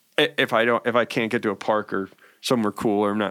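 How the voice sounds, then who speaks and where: A man with a fairly low voice talks at a very fast pace with fairly even intonation. The recording is very clean, with a silent background and a dry, close sound with no echo. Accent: American. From New York. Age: 40s. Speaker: cannabis entrepreneur. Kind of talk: casual chat.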